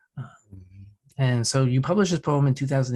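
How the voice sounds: A man's dark, mellow tone with ordinary pitch variation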